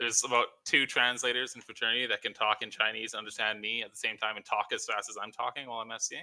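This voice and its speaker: At a very fast pace with hardly any pauses, a man with a bright, sharp, medium-pitched tone speaks in a monotone, flat intonation. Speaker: online game fleet commander. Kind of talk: casual chat. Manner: fast-talking.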